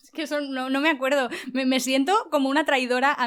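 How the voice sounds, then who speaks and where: High-pitched speech from a woman, delivered at a fairly quick pace. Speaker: voice actress and youtuber. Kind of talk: interview.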